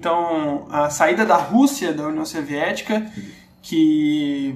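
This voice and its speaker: Noticeable background noise is present. The speaker's intonation is lively. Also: man. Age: 20s. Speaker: podcast guest. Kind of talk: casual chat. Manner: halting.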